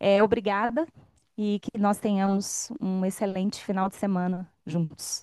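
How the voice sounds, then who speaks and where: A woman speaks with a Minas Gerais accent at a fairly slow pace. Her medium-pitched voice has a dark, mellow tone and fairly even intonation. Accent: Minas Gerais (mineiro). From Brazil, Minas Gerais (Belo Horizonte). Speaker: speaker at union event. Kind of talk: opening speech.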